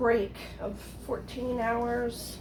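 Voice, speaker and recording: Background noise is clearly present and the room echoes as a woman talks. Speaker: home cooking and gardening vlogger. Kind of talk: casual cooking tutorial.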